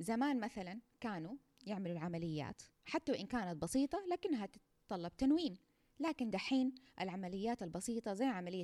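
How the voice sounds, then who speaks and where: With a Saudi accent, the speaker talks at a moderate pace with lively intonation in a dry, close sound with no echo. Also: woman. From Saudi Arabia. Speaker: nursing researcher, podcast host. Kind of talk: educational monologue. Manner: conversational, informal.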